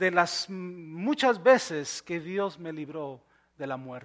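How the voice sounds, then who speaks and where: On a very clean recording with a silent background, a man can be heard talking. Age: 40s. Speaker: pastor. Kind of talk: sermon. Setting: church.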